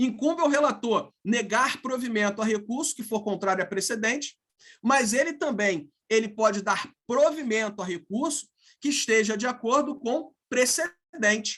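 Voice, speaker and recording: This man's voice is extremely high in pitch, bright and sharp in tone, moving at a fairly slow pace with ordinary pitch variation. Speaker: law professor. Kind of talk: lecture. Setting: video call.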